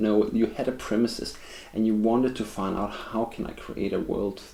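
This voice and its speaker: A man with a Danish accent, fairly low pitch, fairly even intonation and a moderate pace, over noticeable background noise. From Denmark. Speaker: film reviewer. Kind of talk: video review monologue. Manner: halting, with frequent fillers and restarts.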